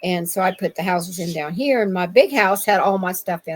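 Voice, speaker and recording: A woman speaks with an American accent at medium pitch. Her voice is somewhat breathy and fairly quick. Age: 60s. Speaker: Bigfoot eyewitness. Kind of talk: interview. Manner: halting, many fillers.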